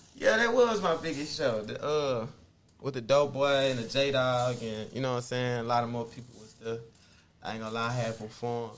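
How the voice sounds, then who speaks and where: A man with an American accent talks at a fairly quick pace with fairly even intonation and big swings in loudness, and room echo is audible. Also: medium pitch for a man. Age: 20s. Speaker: rapper. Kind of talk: casual interview.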